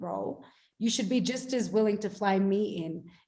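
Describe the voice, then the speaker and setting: Noticeable background noise accompanies a woman speaking in an Australian accent. Her fairly high voice moves at a moderate pace with ordinary pitch variation. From Australia, Melbourne. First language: Bengali. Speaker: actor. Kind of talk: panel discussion.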